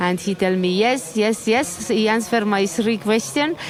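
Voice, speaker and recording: Speaking at a moderate pace, a woman uses lively intonation at a medium pitch. Noticeable background noise runs beneath her. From Estonia. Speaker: Buddhist nun. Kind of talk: interview. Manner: halting.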